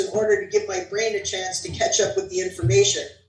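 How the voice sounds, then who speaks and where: A woman speaks with an American accent while music plays in the background. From New Jersey. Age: 60s. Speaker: author. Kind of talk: reading aloud.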